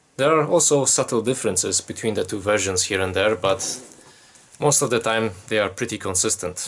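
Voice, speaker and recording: With a Polish accent, a man talks at a fairly quick pace, his fairly low voice showing ordinary pitch variation. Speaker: YouTuber giving Bible commentary. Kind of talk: solo commentary from notes. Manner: casual, conversational.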